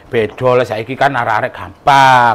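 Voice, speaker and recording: A man at medium pitch and a fairly slow pace, with noticeable background noise. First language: Javanese (speaking Indonesian). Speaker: cooking vlogger. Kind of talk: casual chat.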